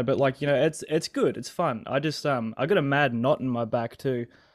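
At a fairly quick pace, a man with an Australian accent speaks at a fairly high pitch with ordinary pitch variation. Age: 20s. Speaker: guest sharing personal phobia story. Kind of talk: casual chat. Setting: video call.

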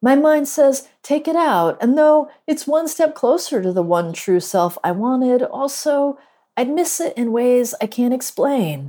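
With an American accent, a woman speaks at a fairly slow pace in a high, dark, mellow tone with very wide pitch swings. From US Northeast. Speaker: poet and professor. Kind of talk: poetry reading.

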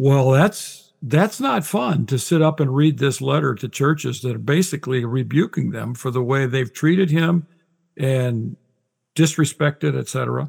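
A man's fairly high, somewhat breathy voice at a moderate pace, with ordinary pitch variation. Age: 60s. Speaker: Bible scholar and author. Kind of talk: casual interview conversation.

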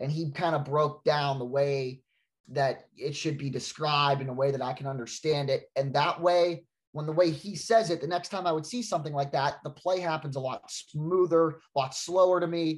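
With an American accent, a man speaks in a somewhat breathy voice at a fairly high pitch. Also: ordinary pitch variation, moderate pace. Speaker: sports anchor. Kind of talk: casual interview.

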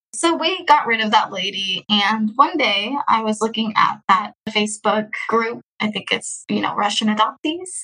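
A woman with an American accent speaks at a moderate pace in a normal speaking voice, her fairly high pitch carried by lively intonation. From Texas. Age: 20s. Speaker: adoptee sharing her story. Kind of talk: interview.

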